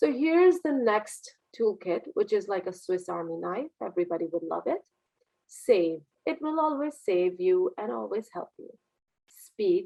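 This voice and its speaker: A woman is speaking. Her pace is moderate. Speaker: communication coach and business CEO. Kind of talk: webinar lecture. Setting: video call. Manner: animated; varied intonation and speed.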